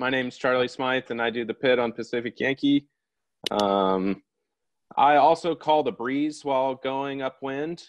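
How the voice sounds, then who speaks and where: A man speaks at a moderate pace with medium pitch and ordinary pitch variation. The sound is dry and close with no echo, over a quiet background. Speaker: sailboat pit crew. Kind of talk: webinar presentation. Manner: loud.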